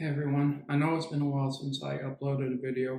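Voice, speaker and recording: Very fast and monotone, a man speaks in a fairly high, somewhat breathy voice with a dark, mellow tone. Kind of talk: movie review talk. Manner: agitated, sometimes rushed.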